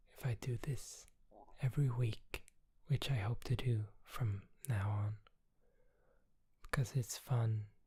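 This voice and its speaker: A man's somewhat breathy, dark and mellow voice at medium pitch, fairly slow and fairly even, broken by long, frequent pauses. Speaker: ASMR creator. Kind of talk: ASMR chat. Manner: soft-spoken.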